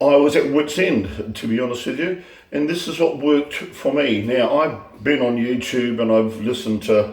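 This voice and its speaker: With audible room echo and noticeable background noise, a man talks at a moderate pace and medium pitch, with ordinary pitch variation and hardly any pauses. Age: 60s. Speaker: teacher sharing health tips. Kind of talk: casual vlog monologue. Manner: halting, many fillers and repetitions.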